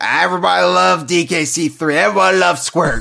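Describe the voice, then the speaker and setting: A raspy, put-on character voice from a man, fairly high-pitched, with very wide pitch swings and a fairly quick pace. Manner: cartoonish, cheerful.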